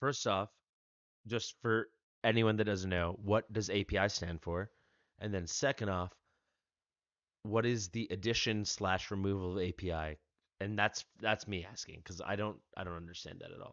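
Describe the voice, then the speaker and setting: A man with an American accent speaks at a fairly low pitch and a moderate pace, with fairly even intonation. His loudness swings widely, and he takes long, frequent pauses. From United States. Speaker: gaming streamer. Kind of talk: live stream chat.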